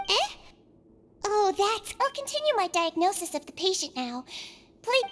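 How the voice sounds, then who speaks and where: A woman's put-on character voice, extremely high, with very wide pitch swings at a moderate pace. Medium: video game. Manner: soft, soothing.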